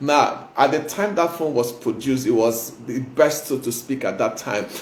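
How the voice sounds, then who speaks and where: Noticeable background noise sits under the recording. A man speaks at a medium pitch with ordinary pitch variation. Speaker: motivational speaker and pastor. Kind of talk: motivational talk. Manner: fast.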